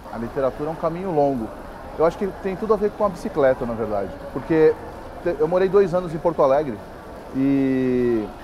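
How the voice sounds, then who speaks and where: Against noticeable background noise, a man with a fairly high pitch speaks at a fairly quick pace with lively intonation and long, frequent pauses. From Brazil, São Paulo. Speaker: writer. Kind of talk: interview. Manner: halting, many fillers.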